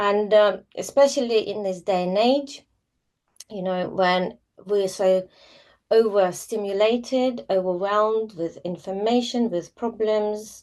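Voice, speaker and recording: In a Russian accent, a woman speaks at a fairly slow pace. Her pitch is medium and her intonation fairly even. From former Soviet Union, Russian-speaking. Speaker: yoga teacher. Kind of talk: live online class talk. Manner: hesitant, many fillers.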